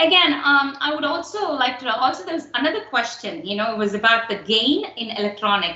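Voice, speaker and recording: A woman's fairly high voice with a Tamil accent and very wide pitch swings, plus audible room echo and noticeable background noise. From India, Tamil Nadu. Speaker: instructor. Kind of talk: lecture. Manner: halting, many fillers.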